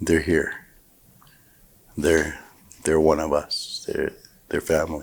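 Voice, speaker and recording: A man talks at a very deep, low pitch. The recording is very clean, with a silent background. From Frog Lake First Nation, Alberta, Canada. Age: 60s. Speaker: First Nations elder. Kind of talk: oral history telling.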